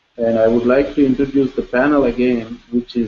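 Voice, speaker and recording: A man speaks with an Indian accent. His pitch sits in the medium range. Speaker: professor, panel moderator. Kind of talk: seminar panel introduction.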